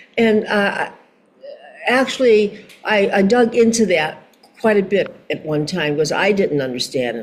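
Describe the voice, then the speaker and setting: Against noticeable background noise, a woman with an American accent speaks at a moderate pace with very wide pitch swings. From Chicago, USA. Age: 80s+. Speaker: singer, actress and model. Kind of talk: interview answer.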